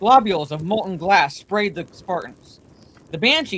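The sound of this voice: Reading without strain, the voice moves through a normal range of pitch.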